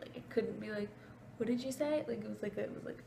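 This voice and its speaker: The voice is quiet, with noticeable background noise behind it. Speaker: vlogger. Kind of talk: storytelling vlog. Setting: at home at night, roommate next door. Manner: quiet, hushed.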